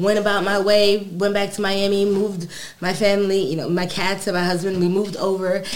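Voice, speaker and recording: A woman with an American accent speaks fairly quickly at a medium pitch in a flat monotone, with noticeable background noise behind her. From New York, Brooklyn. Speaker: cannabis cultivator and hash maker. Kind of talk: casual chat. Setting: studio.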